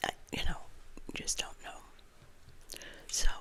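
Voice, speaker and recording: A woman speaks in a whisper. Noise is clearly present around her. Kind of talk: ASMR crime story reading with casual talk to camera. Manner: soft-spoken, whispered.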